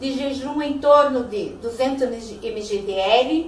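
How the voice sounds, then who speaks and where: Audible room echo around a woman's high voice. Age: 60s. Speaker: patient giving testimonial. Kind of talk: testimony.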